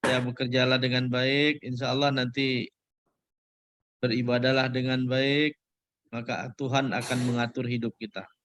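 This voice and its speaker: This man talks at a moderate pace with a medium pitch. His intonation is monotone and flat. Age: 60s. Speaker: senior judge, association chairman. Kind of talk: casual farewell chat. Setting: video call.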